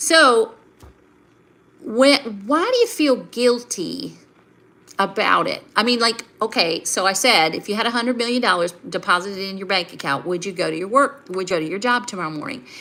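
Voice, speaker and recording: A woman with a Southern US accent speaks at a moderate pace and a fairly high pitch. Her intonation is lively, and noticeable background noise is present. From US South. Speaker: life and finance coach. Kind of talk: live stream talk to viewers. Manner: conversational, with fillers.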